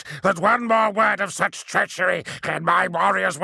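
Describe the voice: Plain reading aloud with pitch that varies in an ordinary way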